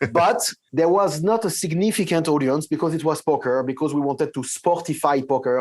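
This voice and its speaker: With a French accent, a man speaks at a fairly quick pace and fairly high pitch, with ordinary pitch variation, very even loudness and a quiet background. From France. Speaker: tech company CEO. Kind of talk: interview. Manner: halting, with many fillers and repeats.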